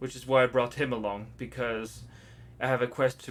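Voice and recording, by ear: Natural-voiced reading aloud with fairly even intonation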